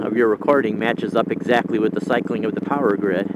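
Loud background noise surrounds a man who talks at a fairly quick pace. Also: dry sound with no echo. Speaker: rider podcaster. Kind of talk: casual vlog chat. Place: motorbike.

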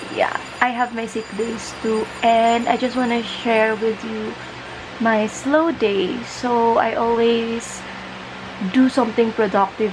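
Noticeable background noise sits behind a woman who speaks in a tired tone with monotone, flat intonation. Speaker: vlogger. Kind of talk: casual vlog chat. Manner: tired, slow talk from bed. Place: home room. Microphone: phone near.

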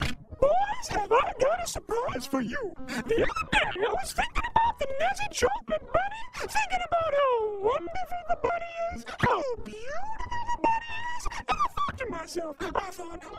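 In a put-on character voice at an extremely high pitch, the speaker keeps a moderate pace with hardly any pauses while music plays in the background. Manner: grandiose, self-satisfied.

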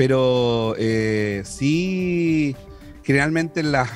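With faint music in the background, a man speaks with ordinary pitch variation in a dry sound with no echo. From Chile. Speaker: radio announcer. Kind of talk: interview answer. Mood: relaxed, smiling. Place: studio. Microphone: studio mic.

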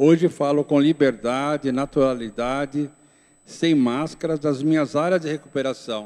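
A man's fairly slow, fairly evenly intoned speech comes through with little behind it but a quiet background. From interior of São Paulo state, Brazil (Itapetininga), moved to São Paulo city at 12; São Paulo state, Brazil. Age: 60s. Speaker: pastor. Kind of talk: testimony. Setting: church. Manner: reading aloud. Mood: calm, reflective. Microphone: handheld.

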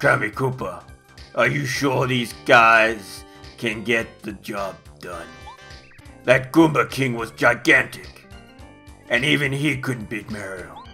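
A man's put-on character voice at a medium pitch and a fairly slow pace, with clear music in the background. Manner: blustering, anxious.

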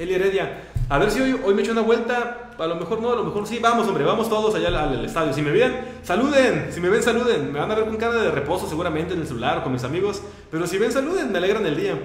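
Over noticeable background noise and audible room echo, a man talks very fast in a high pitch with lively intonation. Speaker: radio host. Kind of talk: casual chat. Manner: halting.

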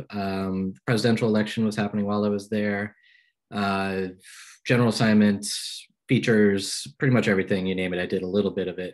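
The speaker has an American accent and talks at a fairly quick pace with monotone, flat intonation. The background is quiet. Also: man, fairly low pitch for a man. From Pennsylvania, US. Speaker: journalist. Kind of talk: lecture. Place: home room. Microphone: video call.

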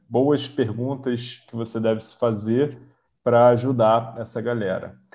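A man's fairly slow speech comes through over a quiet background. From Brazil. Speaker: online business mentor. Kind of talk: live online workshop coaching. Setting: video call. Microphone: video call.

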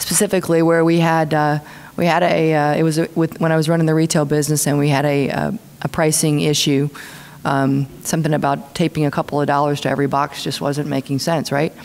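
A woman speaks very fast with a very deep, low pitch. Her intonation is monotone and flat, and her loudness stays very even. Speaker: speaker. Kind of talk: panel answer. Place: hall. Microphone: podium.

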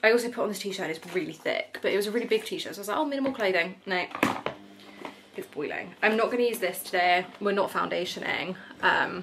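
A woman rattles off her words very quickly, her pitch rising and falling in an ordinary way, while noticeable noise fills the background. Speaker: vlogger. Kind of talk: casual vlog chat. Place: home room. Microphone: phone near.

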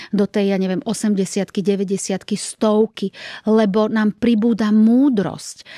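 A woman with a dark, mellow tone speaks at a fairly slow pace with fairly even intonation. The sound is dry with no echo, and the background is quiet. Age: 50s. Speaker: actress. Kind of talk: interview. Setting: studio. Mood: warm, reflective. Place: studio. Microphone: studio mic.

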